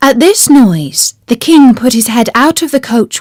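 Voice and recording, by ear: A woman talks at a fairly slow pace with a slightly mellow tone. The sound is dry and close, with no echo.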